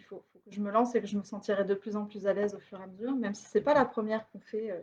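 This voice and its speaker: A woman's somewhat breathy, medium-pitched voice at a very fast pace, with fairly even intonation and big swings in loudness. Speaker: sociologist giving a lecture. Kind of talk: lecture. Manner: halting, many fillers.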